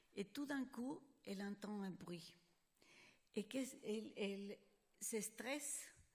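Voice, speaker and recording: A woman with a non-native accent, medium pitch and somewhat breathy, with lively intonation, a very slow pace and long, frequent pauses. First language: Spanish (speaking French). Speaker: psychologist. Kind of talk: conference lecture. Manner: halting.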